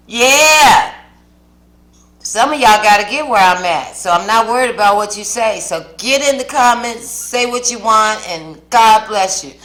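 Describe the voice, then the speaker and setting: A woman's fairly high, bright, sharp voice at a fairly slow pace, with ordinary pitch variation, big swings in loudness and audible room echo. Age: 60s. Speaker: mukbang vlogger. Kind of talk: casual chat to camera while eating. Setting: home kitchen. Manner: animated.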